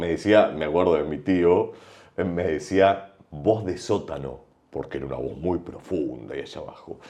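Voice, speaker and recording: Speaking fairly slowly, a man uses a very deep, low pitch with vocal fry. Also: ordinary pitch variation, big swings in loudness. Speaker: broadcaster and voice teacher. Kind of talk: podcast interview. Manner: varied intonation.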